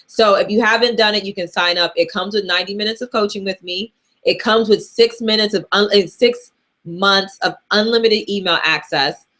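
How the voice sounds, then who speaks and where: A woman of medium pitch speaks loudly at a fairly quick pace. Her pitch varies in an ordinary way. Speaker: personal finance coach. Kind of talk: live Q&A. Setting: livestream. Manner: casual.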